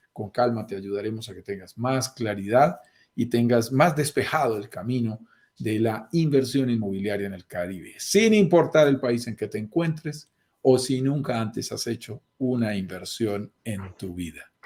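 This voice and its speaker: Here a man speaks with a Colombian accent at a medium pitch. His pace is fairly slow, and his pitch varies in an ordinary way. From Colombia, mountain region. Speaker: real estate investment host. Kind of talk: live stream talk show.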